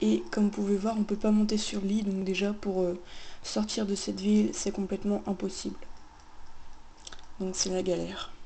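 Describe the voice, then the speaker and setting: With long, frequent pauses, a somewhat breathy woman speaks at medium pitch and fairly even intonation. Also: moderate pace. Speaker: gaming youtuber. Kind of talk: gameplay commentary. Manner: casual.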